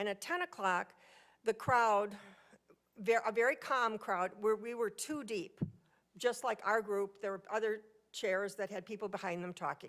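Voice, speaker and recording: A woman's fairly high voice with ordinary pitch variation, at a moderate pace with long, frequent pauses. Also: very clean recording, silent background. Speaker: resident speaking at public hearing. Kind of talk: public comment.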